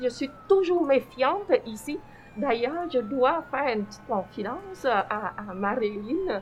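Very slowly, a woman with a Vietnamese accent speaks at a high pitch with very wide pitch swings and big swings in loudness, amid noticeable background noise. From Vietnam, then Quebec from age 15. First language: Vietnamese (speaking French). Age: 50s. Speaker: former refugee, community member. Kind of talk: personal testimony in conversation.

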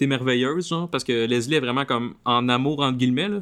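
Very fast-paced man with a Quebec accent. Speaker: podcast host. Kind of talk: casual chat.

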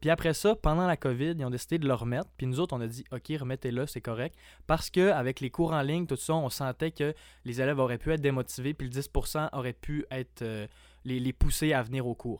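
A man with a plain, everyday voice talks at a fairly quick pace in a medium pitch with ordinary pitch variation. The recording is very clean, with a silent background and a dry, close sound with no echo. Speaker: college student association representative. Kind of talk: casual interview chat.

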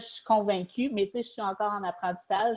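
A woman's medium-pitched voice with a Quebec accent and fairly even intonation. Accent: Québécois French. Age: 30s. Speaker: novelist. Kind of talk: interview.

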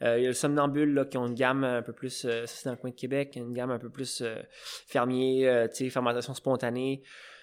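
Intonation stays flat and monotone throughout. There is a silent background on a very clean recording. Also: man, medium pitch for a man, moderate pace. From Quebec, Eastern Townships. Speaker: cider maker. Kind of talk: casual interview. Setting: on site at the cidery.

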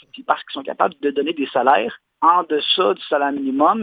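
A man talks at a fairly quick pace with a fairly high pitch. It is an unremarkable speaking voice. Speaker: leather craftsman. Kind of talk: interview. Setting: phone call.

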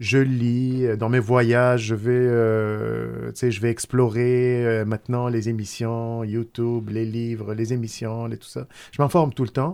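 In a very clean recording with a silent background, a man speaks with an Arabic accent at medium pitch. His intonation is fairly even, but his loudness swings widely. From Tunisia. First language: Arabic (speaking French). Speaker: food company founder. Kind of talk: casual chat. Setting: studio.

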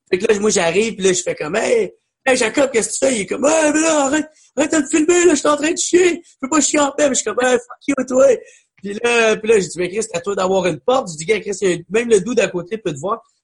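A man with a Quebec accent at an extremely high pitch, very wide pitch swings, big swings in loudness and a very fast pace. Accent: Québécois French. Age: 20s. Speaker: comedian. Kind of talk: casual chat.

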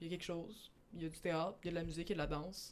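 This woman speaks in a Quebec accent. Her pace is very fast. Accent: Québécois French. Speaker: podcast host. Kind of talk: casual chat.

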